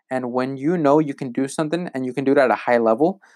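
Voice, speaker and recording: With an American accent and an ordinary speaking voice, a man talks in a fairly high pitch with ordinary pitch variation. The recording is very clean, with a silent background. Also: dry, close sound with no echo. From US Pacific Northwest, rural eastern Washington. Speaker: online sales coach. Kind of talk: casual solo podcast monologue. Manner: casual, frequent fillers and repetitions.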